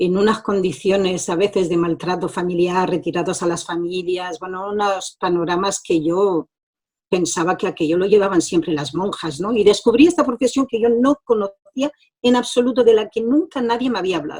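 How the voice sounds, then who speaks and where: A woman talks at a moderate pace and a medium pitch with ordinary pitch variation. She has a normal speaking voice. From France, born in Granada. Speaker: social educator and mediator. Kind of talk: interview testimony. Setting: video call.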